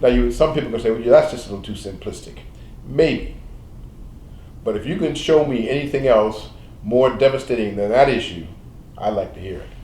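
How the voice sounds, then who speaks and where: A man's medium-pitched voice with ordinary pitch variation at a fairly quick pace, long, frequent pauses, big swings in loudness and audible room echo. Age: 70s. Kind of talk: panel interview. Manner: halting.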